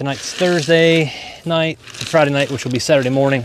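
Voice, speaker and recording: With noticeable noise in the background, the delivery is fairly quick and the intonation stays fairly even. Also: man. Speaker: farmer. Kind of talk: livestream tutorial, casual. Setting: outdoors on farm, live stream. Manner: casual, conversational.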